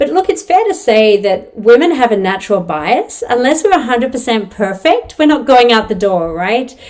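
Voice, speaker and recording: A woman speaks with an Australian accent against noticeable background noise. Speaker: venture capital investor. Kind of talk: webinar interview.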